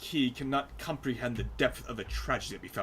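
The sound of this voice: Simply an unforced reading voice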